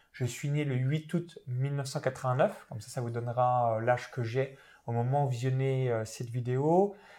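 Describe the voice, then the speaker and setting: On a very clean recording with a silent background, a man of medium pitch talks in a dark, mellow tone. He goes at a very slow pace, with ordinary pitch variation. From France, Saône-et-Loire (rural Burgundy). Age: 20s. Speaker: internet entrepreneur and property investor. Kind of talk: interview.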